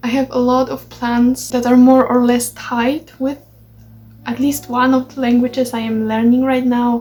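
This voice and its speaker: Noticeable background noise behind a woman with a Polish accent, high-pitched, monotone and flat in intonation, at a moderate pace. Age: 20s. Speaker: language learning vlogger. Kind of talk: vlog update. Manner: halting.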